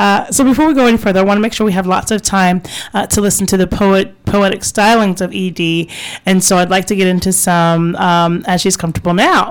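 At a fairly quick pace, a woman with a normal speaking voice and medium pitch talks with ordinary pitch variation and very even loudness. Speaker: radio host. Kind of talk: casual radio interview chat. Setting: radio studio. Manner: warm, chatty, laughs often.

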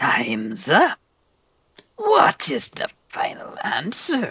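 A raspy put-on character voice at a very slow pace. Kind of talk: fantasy villain voice. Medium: actual play. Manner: grandiose, formal.

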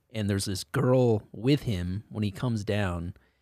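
An ordinary speaking voice with an American accent moves at a fairly slow pace in a dry, close sound with no echo, on a very clean recording with a silent background. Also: man. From US Northeast (Connecticut). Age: 40s. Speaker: comedian. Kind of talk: casual chat.

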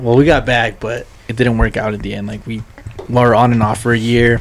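The delivery is fairly quick, with monotone, flat intonation. Noticeable background noise runs underneath. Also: man. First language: Spanish. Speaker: podcast co-host. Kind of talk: casual banter.

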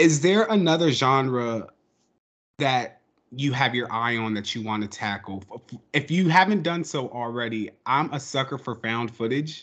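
Medium-pitched male speech, a plain, everyday voice, moderately paced and lively in intonation. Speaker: podcast co-host. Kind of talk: casual interview chat.

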